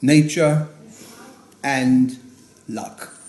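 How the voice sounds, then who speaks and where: A man is speaking here. Noticeable background noise runs under his voice. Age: 90s. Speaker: grandfather giving birthday speech. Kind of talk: prepared birthday speech. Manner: halting, with fillers.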